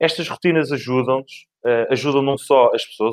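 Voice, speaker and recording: Fairly quick speech from a man, dry and close with no echo. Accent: Lisbon. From Portugal, Lisbon. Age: 40s. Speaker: outsourcing manager. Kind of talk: interview. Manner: talkative.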